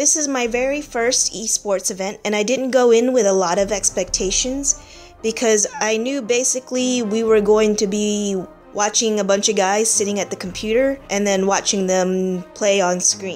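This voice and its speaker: Over music in the background, a woman talks at a moderate pace with a fairly high pitch and ordinary pitch variation. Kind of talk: casual talk to camera.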